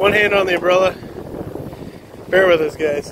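Noticeable background noise sits under speech delivered fairly quickly. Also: dry sound with no echo. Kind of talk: casual tutorial narration. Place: garden. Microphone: phone near.

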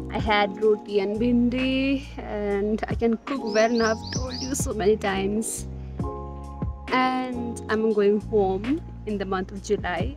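Clear music plays in the background of a dry sound with no echo. A woman speaks at a very slow pace. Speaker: vlogger. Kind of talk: casual vlog chat. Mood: reflective, lightly self-deprecating. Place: garden. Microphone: phone near.

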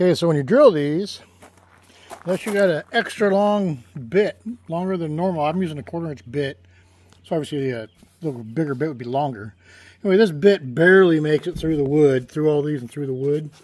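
A man's fairly quick delivery with ordinary pitch variation and a dry sound free of echo. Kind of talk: tutorial. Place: open country. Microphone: phone near.

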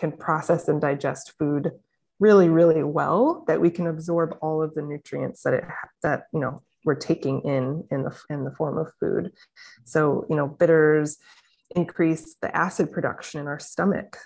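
Speaking in a Midwestern American accent, a woman has a very deep, low pitch and fairly even intonation. She keeps a moderate pace over a quiet background. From St. Louis, Missouri; Missouri. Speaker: naturopathic doctor; interview guest. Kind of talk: casual interview. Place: home room. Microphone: video call.

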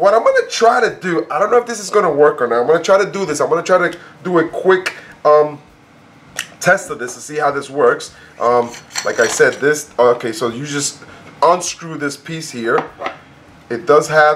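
Light background noise sits behind a man speaking at a moderate pace. His loudness swings widely, and long, frequent pauses break up his speech. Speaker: product reviewer. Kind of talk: unboxing review chat.

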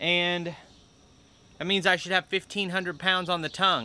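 A man speaks in a high pitch with a bright, sharp tone. His intonation stays fairly even, and the sound is dry with no echo. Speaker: tractor work business owner. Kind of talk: casual vlog chat. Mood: concerned, explaining. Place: open country. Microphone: phone near.

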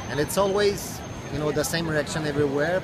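A man speaks with a dry sound that has no echo, against loud background noise. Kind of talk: interview answer. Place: street. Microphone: phone near.

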